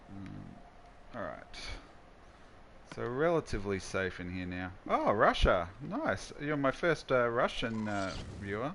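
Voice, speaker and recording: At a very slow pace, a man uses a medium pitch with lively intonation and big swings in loudness. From Australia, Queensland. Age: 40s. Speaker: gaming streamer. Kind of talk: live gameplay stream chat. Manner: casual, halting with restarts.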